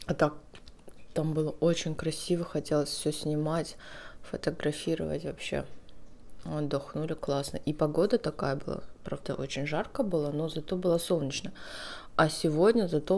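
A woman's very deep, low voice at a moderate pace, with fairly even intonation and long, frequent pauses. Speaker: food vlogger. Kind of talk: casual mukbang vlog chat. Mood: relaxed, friendly. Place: home room. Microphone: phone near.

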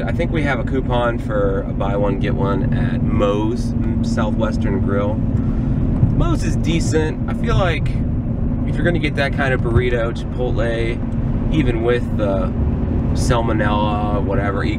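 Loud background noise surrounds a man speaking at a fairly slow pace, with a dry sound and no echo. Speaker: parent vlogger. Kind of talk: casual vlog chat. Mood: joking, self-deprecating. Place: car. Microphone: phone near.

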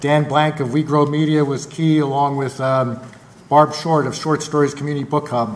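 A man at a moderate pace, in a monotone with flat intonation. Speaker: mayor. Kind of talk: council meeting report. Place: hall. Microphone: podium.

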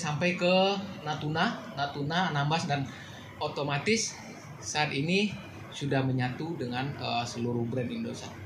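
The man's pitch is fairly high, with ordinary variation. He speaks at a moderate pace over noticeable background noise. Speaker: telecom brand sales manager. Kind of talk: press event presentation. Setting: media gathering event. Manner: halting, many fillers.

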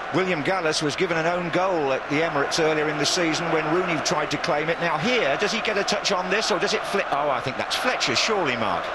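A high-pitched man with a British accent talks at a very fast pace with hardly any pauses, ordinary pitch variation and very even loudness, over noticeable background noise. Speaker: football commentator. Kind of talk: live football commentary. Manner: fast, clipped play-by-play that rises in excitement at goals and chances.

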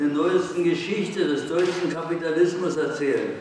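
A man with a high voice for a male speaker talks in a fairly even tone amid strong room echo and light background noise. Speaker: communist activist and historian. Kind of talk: political speech at a congress. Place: hall. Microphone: podium.

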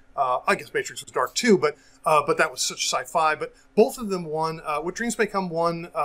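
A man speaks in a bright, sharp tone with ordinary pitch variation. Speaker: IT professional and sales engineer; podcast guest. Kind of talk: casual chat. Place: home room. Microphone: earbuds.

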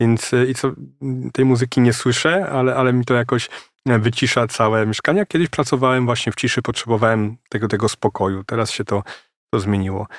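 A man with a plain, everyday voice speaks at a fairly quick pace and medium pitch, with ordinary pitch variation and very even loudness. The sound is dry and close with no echo, in a very clean recording with a silent background. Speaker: novelist. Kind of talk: interview.

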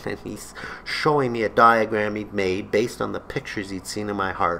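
Light background noise runs under a man's voice. He speaks at a moderate pace with a bright, sharp tone. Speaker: vlogger. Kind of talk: comedic personal storytelling to camera. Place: home room. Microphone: webcam.

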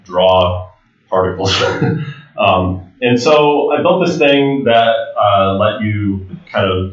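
A man speaks very slowly in a room with audible echo and a quiet background. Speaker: conference presenter. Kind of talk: lecture. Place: hall.

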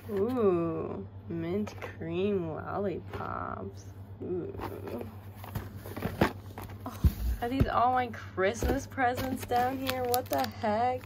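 Very slow speech with long, frequent pauses comes through over noticeable background noise. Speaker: vlogger. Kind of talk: casual vlog chat. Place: home room. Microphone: phone near.

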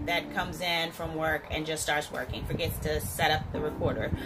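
A woman keeps a moderate pace while clear music sounds in the background. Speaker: home builder vlogger. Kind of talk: casual vlog chat. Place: bathroom. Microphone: phone near.

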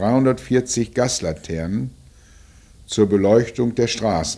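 A man with a dark, mellow tone speaks at a medium pitch with ordinary pitch variation. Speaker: film narrator. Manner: measured, sober, matter-of-fact, formal.

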